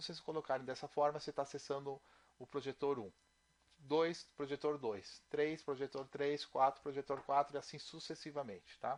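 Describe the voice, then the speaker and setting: A man speaks at a moderate pace in a plain, everyday voice, pitched fairly high with fairly even intonation. His loudness swings widely. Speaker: programming instructor. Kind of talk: tutorial.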